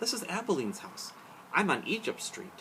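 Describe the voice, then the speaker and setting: A man uses a put-on character voice, pitched high, at a moderate pace. Clear background noise runs under his speech. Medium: read story. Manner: inner thoughts, quiet.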